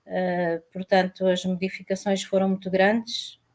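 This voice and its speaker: This woman's voice is medium in pitch, and she talks fairly slowly. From Portugal. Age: 60s. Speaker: retired woman, panel guest. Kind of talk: panel discussion. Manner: halting, many fillers.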